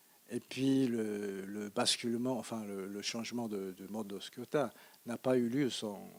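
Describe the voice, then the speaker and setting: With a Japanese accent, a man speaks at a very slow pace. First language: Japanese (speaking French). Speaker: economist lecturer. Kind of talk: Q&A after lecture. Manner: halting, many hesitations.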